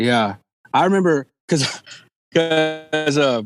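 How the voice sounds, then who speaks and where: A man with a Texan accent and ordinary pitch variation. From Texas (Lake Jackson, Victoria area). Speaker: country musician. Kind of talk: casual chat. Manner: halting.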